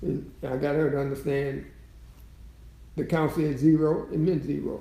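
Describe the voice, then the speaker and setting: At a moderate pace, a man speaks with a fairly high pitch and a dark, mellow tone. He sounds somewhat breathy, and his intonation is monotone and flat. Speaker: long-married great-grandfather figure. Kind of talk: interview answer.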